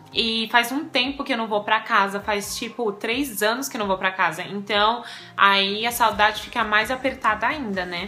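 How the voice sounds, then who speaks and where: Fairly even intonation at a moderate pace, with music in the background. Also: woman. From Brazil. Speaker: vlogger. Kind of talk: casual chat.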